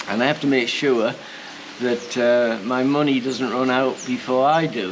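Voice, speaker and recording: A man with a British accent speaks at medium pitch and a moderate pace. His intonation is fairly even, and there is noticeable background noise. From UK. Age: 70s. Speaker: retired chef and expat vlogger. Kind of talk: casual vlog talk. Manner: hesitant, many fillers.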